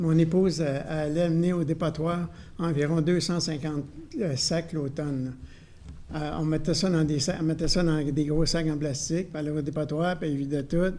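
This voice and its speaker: In a room with audible echo, a man with a fairly high pitch and a dark, mellow tone speaks at a moderate pace with monotone, flat intonation. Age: 70s. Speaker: citizen raising a complaint. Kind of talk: public meeting discussion. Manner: halting.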